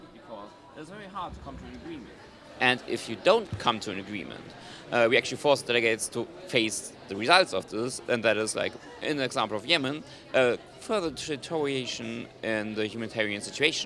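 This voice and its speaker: Over noticeable background noise, a man with a medium pitch speaks at a fairly quick pace, his intonation lively and his loudness swinging widely. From Germany. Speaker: student conference chair. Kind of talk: interview. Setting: live event broadcast.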